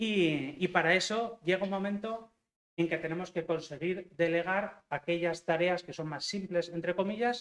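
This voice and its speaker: A man talks fairly slowly, his high-pitched voice showing ordinary pitch variation. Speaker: software engineering manager. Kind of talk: talk to university students. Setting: lecture hall with audience. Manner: hesitant, many fillers.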